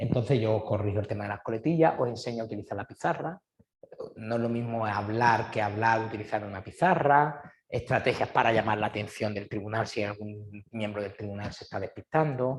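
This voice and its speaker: At a fairly quick pace, a somewhat breathy voice talks with ordinary pitch variation. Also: man, medium pitch for a man. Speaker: exam prep teacher. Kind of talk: information session. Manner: fast.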